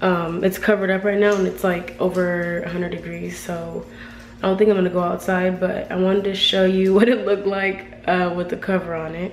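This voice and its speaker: A woman's medium-pitched, monotone, flat voice at a fairly quick pace, with noticeable background noise. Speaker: vlogger. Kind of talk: casual talk to camera.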